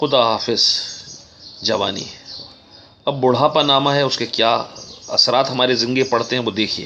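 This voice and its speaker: A man talks with long, frequent pauses against noticeable background noise. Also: medium pitch for a man, fairly even intonation. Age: 60s. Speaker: author. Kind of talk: casual talk; reading aloud.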